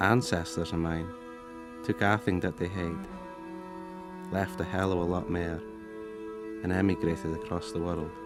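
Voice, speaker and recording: In a Shetland accent, a man speaks with a very deep, low pitch and ordinary pitch variation, leaving long, frequent pauses. Music plays in the background. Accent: Shetland Scots. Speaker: actor. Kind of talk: film voice-over, reflective literary monologue. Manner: slow, contemplative.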